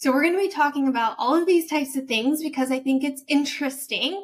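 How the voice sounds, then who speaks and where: A woman with an American accent speaks with ordinary pitch variation. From United States. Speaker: podcast host. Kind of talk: podcast introduction.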